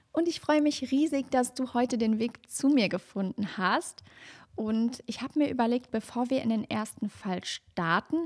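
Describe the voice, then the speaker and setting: A woman with an ordinary speaking voice talks at a moderate pace and ordinary pitch variation, in a very clean recording that is dry and close with no echo over a silent background. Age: 30s. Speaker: true crime podcaster. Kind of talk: casual chat; scripted narration.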